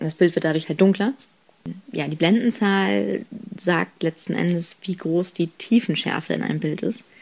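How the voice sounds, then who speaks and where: A woman speaks at a moderate pace with lively intonation. It is an unremarkable speaking voice. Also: fairly low pitch for a woman. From northern Germany, Kiel. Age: 20s. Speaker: photographer and student. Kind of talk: interview.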